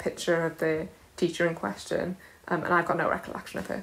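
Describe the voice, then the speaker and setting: Words tumble out at a very fast pace, the intonation staying fairly even. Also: woman. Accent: South Wales. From Wales. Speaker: comedian. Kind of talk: casual chat.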